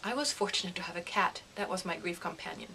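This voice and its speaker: Over noticeable background noise, a woman talks at a fairly quick pace with a German accent. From Germany. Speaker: grief counselor. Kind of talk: direct appeal to viewers; personal testimony to camera.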